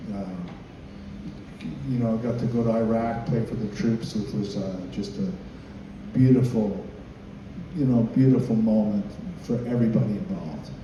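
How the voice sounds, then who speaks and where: A man speaks at a moderate pace and a medium pitch with lively intonation and long, frequent pauses, amid noticeable background noise and audible room echo. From Canada. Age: 50s. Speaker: country bass player. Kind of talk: informal talk to a group of musicians. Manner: hesitant, many fillers.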